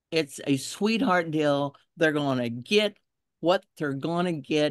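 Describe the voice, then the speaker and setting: A woman with a Texas accent speaks at a very deep, low pitch and a very slow pace, with lively intonation. The sound is dry and close with no echo. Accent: Texas Southern. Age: 70s. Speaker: environmental activist. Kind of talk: testimony.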